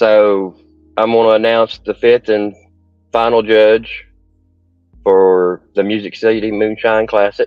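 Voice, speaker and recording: Slow to a great degree, a man with a Southern US accent speaks at a fairly low pitch in a monotone, flat delivery, leaving long, frequent pauses as music plays in the background. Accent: US South. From Nashville, Tennessee. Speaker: bearding club leader. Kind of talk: casual chat. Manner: halting.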